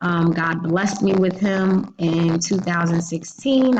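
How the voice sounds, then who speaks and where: Somewhat breathy and fairly low in pitch, a woman with an American accent speaks at a moderate pace with ordinary pitch variation. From New Jersey, Jersey City. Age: 30s. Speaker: teacher. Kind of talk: self-introduction presentation for a class.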